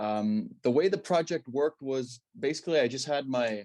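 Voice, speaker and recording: In a Danish accent, a man speaks at a moderate pace with ordinary pitch variation. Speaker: stand-up paddle athlete. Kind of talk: interview. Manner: hesitant.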